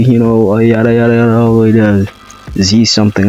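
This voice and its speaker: Over music in the background, a man speaks at a fairly quick pace in a flat monotone. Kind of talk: casual narration of a fan story.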